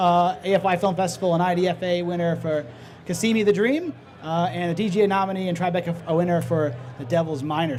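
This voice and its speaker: Speaking at a very fast pace over music in the background, a man with a high pitch keeps his intonation fairly even. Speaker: panel moderator. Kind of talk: panel introductions. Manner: halting, many fillers and restarts.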